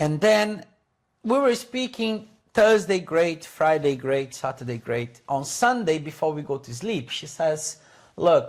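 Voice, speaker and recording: In a Portuguese accent, a man speaks at a fairly slow pace. His fairly high pitch swings very widely. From Brazil. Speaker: English teacher. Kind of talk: casual chat. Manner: animated; halting.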